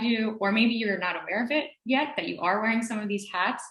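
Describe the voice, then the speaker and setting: A woman's voice comes with audible room echo. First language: heritage Spanish speaker, also English at home. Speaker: language education researcher. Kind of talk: academic presentation. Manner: many fillers and hesitations. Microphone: connection may glitch due to thunderstorms.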